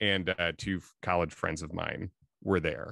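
A man speaks with an American accent at a moderate pace. The sound is dry with no echo, and the background is quiet. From Chicago. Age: 30s. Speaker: comedian. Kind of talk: casual chat. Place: home room. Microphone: studio mic.

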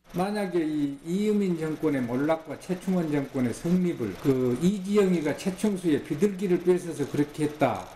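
Audible room echo and light background noise surround a man whose pitch varies in an ordinary way. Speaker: history professor. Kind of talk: interview. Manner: halting. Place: studio.

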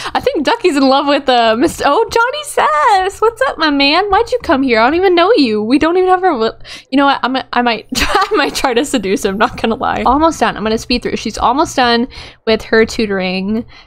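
With noticeable noise behind her, a woman speaks at a fairly quick pace in a high, animated voice that takes very wide pitch swings. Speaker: gaming YouTuber. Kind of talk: casual gameplay commentary. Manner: animated, chatty.

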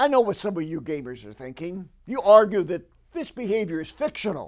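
A man's lively intonation over a quiet background. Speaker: exorcist; preacher. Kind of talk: religious commentary to camera. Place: studio. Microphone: lapel.

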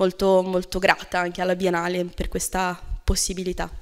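The woman's delivery is fairly quick. Behind her, things stay quiet. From outside Italy. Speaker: event moderator. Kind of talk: event moderation and interview. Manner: halting, many fillers. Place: hall. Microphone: podium.

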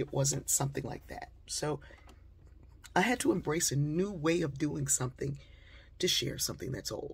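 A woman's very deep, low voice, somewhat breathy. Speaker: inspirational speaker and author; speaker. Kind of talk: storytelling monologue. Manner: conversational with frequent fillers. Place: home room. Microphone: phone near.

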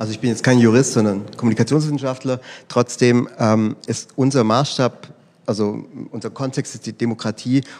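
A man speaks at a medium pitch and a moderate pace. His loudness swings widely while his intonation stays fairly even. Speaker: political scientist. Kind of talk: panel discussion. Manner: halting, many fillers.

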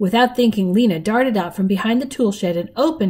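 Ordinary pitch variation in plain reading aloud

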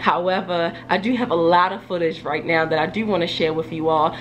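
A woman with a fairly low voice talks at a fairly quick pace. Her pitch varies in an ordinary way over noticeable background noise. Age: 30s. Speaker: hair care YouTuber. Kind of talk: casual vlog talk to camera. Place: home room.

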